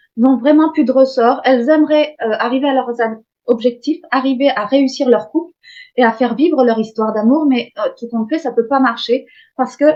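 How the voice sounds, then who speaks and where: A woman with a northern Belgian accent speaks in a high pitch with fairly even intonation. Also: moderate pace. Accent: Belgian-Flemish northern French. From Hauts-de-France, northern France. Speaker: coach. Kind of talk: masterclass lecture. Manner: dynamic; hesitant, many fillers.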